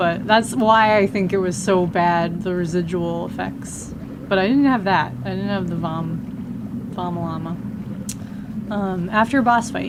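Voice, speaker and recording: Noticeable background noise and audible room echo fill this recording. A woman with an American accent speaks at a fairly slow pace. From New York (Westchester). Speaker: video game streamer. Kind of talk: casual live-stream chat while gaming.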